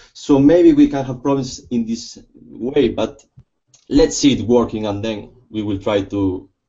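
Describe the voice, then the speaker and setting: A somewhat breathy man with a Spanish accent at a moderate pace. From Spain. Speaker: lawyer. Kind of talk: casual chat. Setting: video call. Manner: halting.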